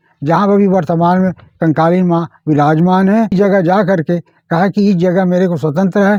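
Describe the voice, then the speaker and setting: A man speaks in a high pitch with a dark, mellow tone and fairly even intonation. The sound is dry and close with no echo. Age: 80s+. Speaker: village elder storyteller. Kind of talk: folk tale narration in interview.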